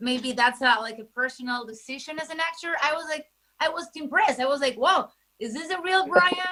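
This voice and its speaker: In a Spanish accent, a woman speaks with a raised, projected voice at a high pitch. Her tone is animated, with lively intonation and a fairly quick pace. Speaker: entertainment journalist. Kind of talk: interview.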